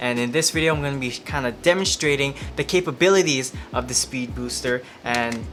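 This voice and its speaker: With music playing in the background, a man speaks at a medium pitch with lively intonation. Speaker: camera tutorial YouTuber. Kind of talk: tutorial.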